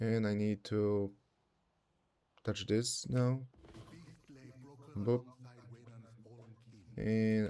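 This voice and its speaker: A man with a non-native accent speaks at a very slow pace and fairly low pitch in a dark, mellow tone, with long, frequent pauses. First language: not English. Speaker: streamer. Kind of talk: casual livestream gameplay chat. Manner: animated.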